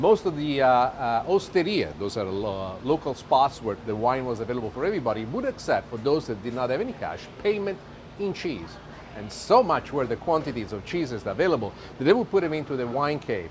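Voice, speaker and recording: A man with an Italian accent speaks at a fairly quick pace in a medium pitch, his pitch swinging very widely over noticeable background noise. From Italy. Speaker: TV chef. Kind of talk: cooking show presentation. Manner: animated.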